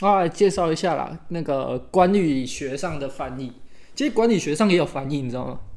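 A man speaks at a fairly quick pace with a fairly high pitch. It is an ordinary speaking voice. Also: lively intonation. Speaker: podcast co-host. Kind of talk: casual chat.

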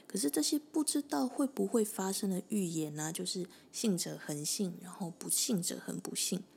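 A woman talks at a moderate pace with a medium-pitched voice and some vocal fry. Her pitch swings very widely. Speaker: podcast host. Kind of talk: solo explainer monologue.

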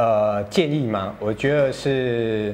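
A man is speaking. He talks with a Taiwanese accent. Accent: Taiwanese Mandarin. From Taiwan, Tainan. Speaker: fitness coach. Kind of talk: casual interview. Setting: fitness studio.

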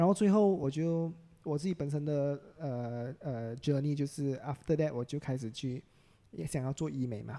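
Fairly high in pitch, a man's voice has a dark, mellow tone at a moderate pace. The recording is very clean with a silent background. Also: ordinary pitch variation. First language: English (speaking Chinese). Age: 30s. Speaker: aesthetic doctor. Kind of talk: casual interview chat.

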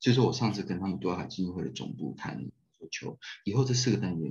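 A man talks at a very fast pace in a very deep, low voice with vocal fry and very wide pitch swings, and the room echo is audible. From Taiwan. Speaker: humanitarian aid director and architecture professor. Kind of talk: casual interview chat. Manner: animated.

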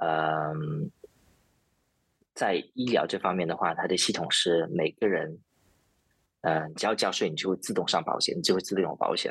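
Pausing often and at length, a man speaks at a moderate pace. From China. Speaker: IT project manager. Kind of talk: interview. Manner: halting, many filler sounds.

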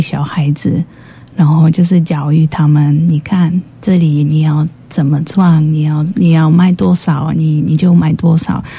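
Through noticeable background noise, a woman with a Polish accent speaks fairly slowly at a very deep, low pitch, her intonation fairly even and her loudness very even. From Poland. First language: Polish (speaking Chinese). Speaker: shop owner. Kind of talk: radio interview. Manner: halting.

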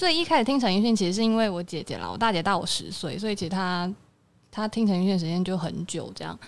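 A woman's voice sits at a medium pitch with ordinary pitch variation. She talks very fast. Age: 20s. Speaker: music fan guest. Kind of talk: casual chat.

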